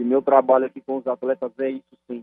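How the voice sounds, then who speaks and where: At a fairly quick pace, a man is talking. His pitch sits in the medium range. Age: young. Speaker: football coach. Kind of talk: radio interview.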